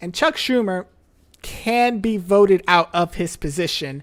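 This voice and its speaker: At a moderate pace, a woman speaks in a plain, everyday voice with ordinary pitch variation. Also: very clean recording, silent background. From United States. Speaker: livestream reaction host. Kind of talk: live reaction commentary. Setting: livestream.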